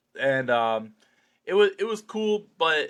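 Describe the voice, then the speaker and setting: A man speaks loudly in a bright, sharp tone, recorded very cleanly against a silent background. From New Jersey, US. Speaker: slap fighter. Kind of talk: podcast interview, casual chat. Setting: in-person podcast studio. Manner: many fillers and restarts.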